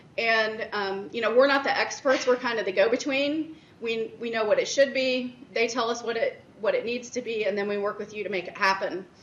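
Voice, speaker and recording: Noticeable background noise and audible room echo fill this recording of a woman. She talks at a fairly quick pace in a fairly high pitch with ordinary variation. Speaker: director of internal audit presenting at a conference. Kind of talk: conference presentation. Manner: loud.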